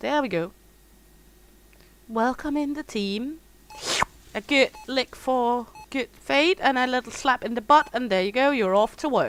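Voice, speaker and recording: The speaker has a strong Scandinavian accent and ordinary pitch variation. Delivery is fairly slow, with long, frequent pauses. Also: woman, high pitch for a woman. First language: Danish. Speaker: gaming streamer. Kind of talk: casual livestream chat. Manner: hesitant, frequent ums.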